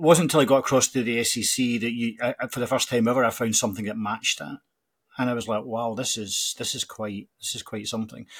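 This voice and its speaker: A man with a Scottish accent talks at a very fast pace and medium pitch. The recording is very clean, with a silent background. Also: ordinary pitch variation. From Scotland, Glasgow. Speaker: college football podcast host. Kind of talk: casual interview chat. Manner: halting, many fillers and repetitions.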